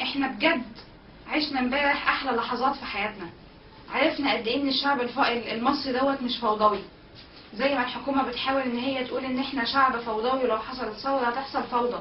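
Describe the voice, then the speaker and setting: A woman talks fairly quickly in a high pitch with fairly even intonation. Light background noise and audible room echo are present. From Egypt. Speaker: protest organizer. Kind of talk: eyewitness account. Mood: earnest, proud, emotional. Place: home room.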